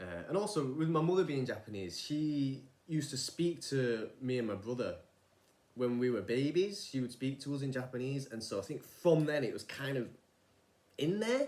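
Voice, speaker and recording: A man with a Manchester accent, fairly high pitch and lively intonation. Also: moderate pace. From northern England, Manchester. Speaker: vlogger, former rice farmer. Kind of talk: casual vlog monologue. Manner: informal, hesitant with fillers.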